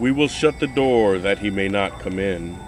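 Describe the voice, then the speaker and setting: A man puts on a character voice at a fairly low pitch. He keeps a moderate pace over clear background noise. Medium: read story.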